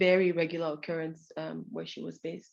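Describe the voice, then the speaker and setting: The speaker talks at a fairly quick pace with fairly even intonation against a quiet background. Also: woman. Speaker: researcher presenting a study. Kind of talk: conference presentation. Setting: event with audience. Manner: fast.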